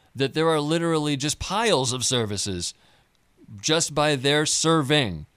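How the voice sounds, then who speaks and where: A man talks at a moderate pace in a plain, everyday voice, pitched fairly high. His pitch variation is ordinary. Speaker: radio announcer and co-host. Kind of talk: radio interview. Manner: formal.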